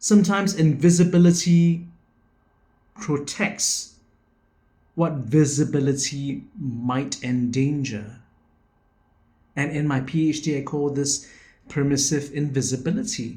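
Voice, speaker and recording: Heard with audible room echo, a man with a fairly high, somewhat breathy voice speaks at a fairly slow pace with ordinary pitch variation and long, frequent pauses. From Singapore. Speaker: educator and education founder. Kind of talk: video presentation, personal reflection talk. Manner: reflective.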